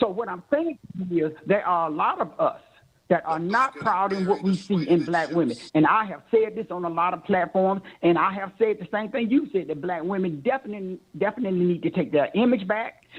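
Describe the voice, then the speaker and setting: Lively intonation marks this man's high-pitched voice. He talks at a fairly quick pace. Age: 60s. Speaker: caller. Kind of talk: heated debate.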